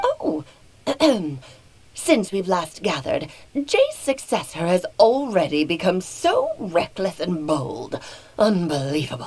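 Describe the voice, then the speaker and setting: Put-on character voice from a woman, medium pitch, fairly slow pace, long and frequent pauses. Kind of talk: formal, archaic.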